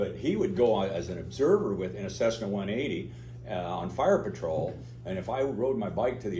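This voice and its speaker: This man speaks with an American accent at a fairly low pitch, and the room echo is audible. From US Pacific Northwest, Oregon. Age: 70s. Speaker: pilot and aerobatics instructor. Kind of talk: talk to club audience. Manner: casual, halting with fillers.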